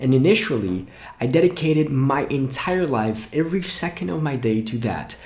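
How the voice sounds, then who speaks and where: Somewhat breathy, the speaker talks at a moderate pace in a Brazilian accent with very wide pitch swings. Audible room echo is present. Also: man. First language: Portuguese. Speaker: English teacher and YouTuber. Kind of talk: motivational talk to camera.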